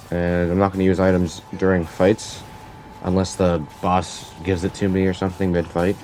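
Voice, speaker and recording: Noticeable background noise sits behind a voice delivered in a monotone with flat intonation. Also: man. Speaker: gaming youtuber. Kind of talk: gameplay commentary. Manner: halting, filler words; casual.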